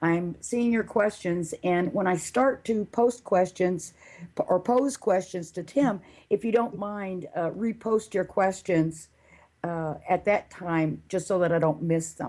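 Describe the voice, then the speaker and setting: In a normal speaking voice with an American accent, a woman talks at a fairly slow pace in a medium pitch with ordinary pitch variation. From US South. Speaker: radio show host. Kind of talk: interview. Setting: live online show with chat room.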